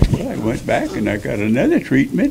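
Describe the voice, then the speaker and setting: Noticeable noise fills the background. Over it, a man talks at a moderate pace. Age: 90s. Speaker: retired rodeo cowboy. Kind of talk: interview testimony. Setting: interview with microphone.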